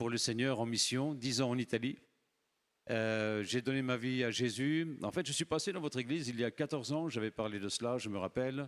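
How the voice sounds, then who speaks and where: On a very clean recording with a silent background, a man with a normal speaking voice talks at a fairly quick pace, medium in pitch with ordinary pitch variation. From France. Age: 60s. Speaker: missionary preacher. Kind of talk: sermon. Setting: church.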